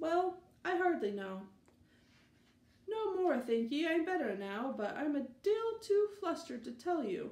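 A woman uses a squeaky, put-on character voice at an extremely high pitch, with very wide pitch swings. She goes at a moderate pace with long, frequent pauses, and echo is audible. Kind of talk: reading aloud a children's story.

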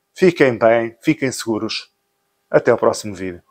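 Against a quiet background, a man with a medium pitch speaks at a fairly slow pace using lively intonation. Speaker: motorcycle gear seller and vlogger. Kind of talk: sales pitch, motorcycle gear shop promo. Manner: brisk pitchman patter, listing discounts and prices; friendly, informal, direct address to viewers. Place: shop. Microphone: phone near.

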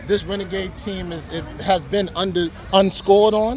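A man's high-pitched voice comes through over noticeable background noise. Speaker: youth sports podcast co-host. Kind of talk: post-game interview. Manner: animated.

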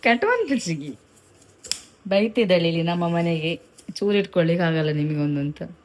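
A woman talks at a fairly low pitch with ordinary variation. Noticeable background noise is audible. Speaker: vlogger. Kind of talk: casual vlog narration.

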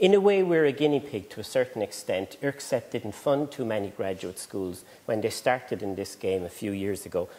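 Lively intonation from a man. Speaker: conference presenter. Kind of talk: lecture. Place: hall. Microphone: lapel.

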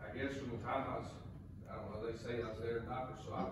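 A man speaks amid noticeable background noise and strong room echo. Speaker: candidate. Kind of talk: testimony before a congregation. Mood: earnest, reflective. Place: church. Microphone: camera far.

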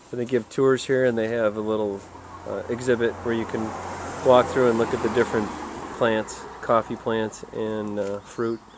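A moderate pace in a dry recording with no echo, plus noticeable background noise. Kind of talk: casual vlog chat. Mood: relaxed, leisurely. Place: cafe.

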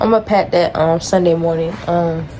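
A woman speaks at a moderate pace in a fairly low voice with a dark, mellow tone and fairly even intonation. Faint background noise is present.

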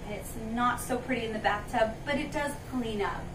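Noticeable background noise runs under this woman's voice. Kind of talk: informational talk to camera. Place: shop. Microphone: camera far.

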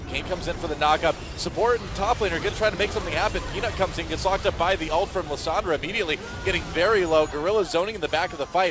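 A man's high-pitched voice at a very fast pace, with ordinary pitch variation and noticeable background noise. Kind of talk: esports play-by-play commentary. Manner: fast, excitable, calling fights as they unfold.

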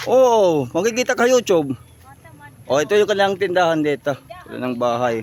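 Against noticeable background noise, a man speaks at a fairly quick pace in a high pitch with very wide pitch swings. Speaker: vlogger. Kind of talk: walking vlog. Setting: outdoors. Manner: animated.

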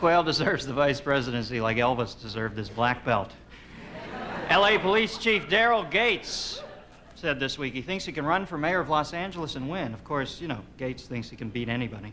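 Over light background noise, a man speaks at a fairly quick pace with very wide pitch swings. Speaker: talk show host. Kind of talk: comedy monologue. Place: stage.

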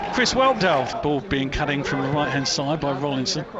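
There is noticeable background noise. A man speaks in an animated tone. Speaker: match commentator. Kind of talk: live radio-style football commentary. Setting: stadium commentary position at the ground. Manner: animated, fast, rising excitement on goals; fluent play-by-play delivery with a breathless rhythm.

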